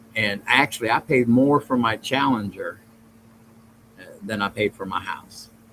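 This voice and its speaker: With a Southern US accent, a man talks at a moderate pace and medium pitch, with ordinary pitch variation and long, frequent pauses. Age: old. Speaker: podcast host. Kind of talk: casual livestream chat reading chat comments. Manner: rambling, halting.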